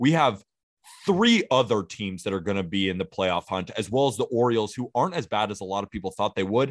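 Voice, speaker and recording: In a normal speaking voice, a man talks at a fairly quick pace and fairly low pitch with ordinary pitch variation, the sound dry and close with no echo over a quiet background. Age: 20s. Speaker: baseball podcast host. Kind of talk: casual chat.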